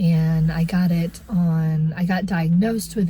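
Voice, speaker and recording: A woman speaks in a very deep, low pitch at a fairly slow pace. Her voice is somewhat breathy. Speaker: vlogger. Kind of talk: casual vlog talk. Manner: halting, many fillers.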